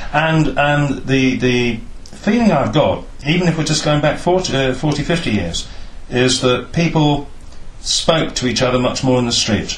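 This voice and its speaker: A man's fairly high voice with a West Country accent, ordinary pitch variation, very even loudness and a moderate pace, plus audible room echo and noticeable background noise. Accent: Wiltshire West Country English. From Swindon, England. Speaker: oral history interviewer. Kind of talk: oral history interview.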